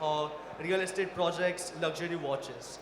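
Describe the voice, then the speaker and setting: A man with a high pitch speaks at a moderate pace, with noticeable background noise and audible room echo. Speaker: company founder, panelist. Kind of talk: panel discussion.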